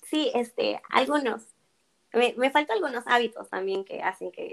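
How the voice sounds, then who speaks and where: A woman is speaking. Her pace is fairly slow. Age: 20s. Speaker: psychology graduate. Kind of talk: interview.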